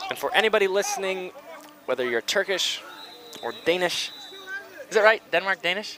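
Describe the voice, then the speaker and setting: With an American accent, a man speaks in a raised, projected voice at a high pitch with lively intonation. He leaves long, frequent pauses over noticeable background noise. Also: fairly quick pace. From United States. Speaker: sports commentator. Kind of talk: live commentary.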